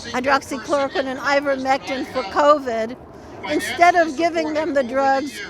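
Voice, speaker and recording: A high-pitched woman talks at a moderate pace with ordinary pitch variation over noticeable background noise. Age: 70s. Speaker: physician. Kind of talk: rally speech.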